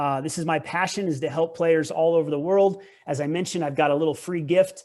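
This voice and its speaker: A man speaks at a fairly quick pace. His pitch is fairly high and his intonation fairly even. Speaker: tennis coach. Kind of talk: presentation. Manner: fast.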